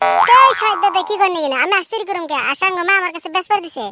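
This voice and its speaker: A cartoonish character voice rattles along at a very fast pace while sound effects play in the background. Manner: loud, brash.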